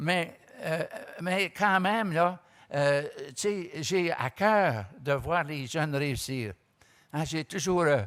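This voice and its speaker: On a very clean recording with a silent background, a man speaks in a fairly high voice with ordinary pitch variation. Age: 80s+. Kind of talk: panel talk. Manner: halting, many repetitions and hesitations.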